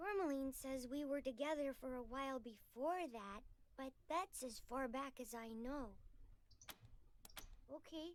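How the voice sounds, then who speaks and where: A female-sounding voice puts on a character voice, pitched high for a woman. The pace is moderate. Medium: video game. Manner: stammering, nervous.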